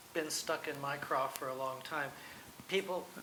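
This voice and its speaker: A man talks at a fairly slow pace with fairly even intonation. Noticeable background noise and audible room echo are present. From Nevada (Boulder City). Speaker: local historian on a panel. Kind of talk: panel discussion. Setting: museum event with audience.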